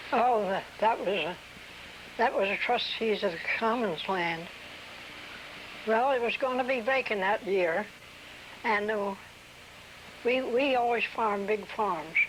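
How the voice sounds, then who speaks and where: Woman's fairly high voice with a rural Delaware accent, fairly slow with long, frequent pauses, ordinary pitch variation, very even loudness, and noticeable background noise. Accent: rural Delaware American. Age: 80s+. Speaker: oral history interviewee. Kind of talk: oral history interview. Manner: halting.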